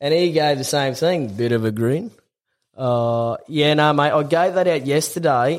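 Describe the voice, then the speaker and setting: A man's fairly high voice with an Australian accent. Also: ordinary pitch variation, fairly slow pace. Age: 20s. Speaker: tradesman and former rugby league player. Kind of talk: telling a joke; casual chat.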